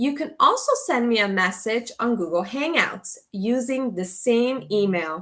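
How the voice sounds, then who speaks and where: Speaking fairly slowly, a woman with a plain, everyday voice keeps a fairly high pitch and lively intonation. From Canada (Toronto), came from Guatemala at age four. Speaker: ESL teacher. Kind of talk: online course orientation. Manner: slow, clear.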